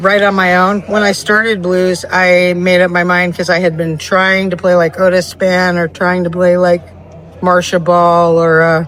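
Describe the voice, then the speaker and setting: Someone speaks at a moderate pace with an American accent. Background noise is noticeable. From California. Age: 60s. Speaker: blues pianist. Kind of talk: casual interview.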